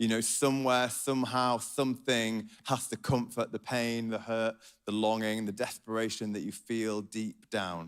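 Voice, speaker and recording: At a moderate pace and in a Yorkshire accent, the speaker keeps a fairly even intonation on a very clean recording with a silent background. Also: man. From Yorkshire, northern England. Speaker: pastor. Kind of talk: sermon.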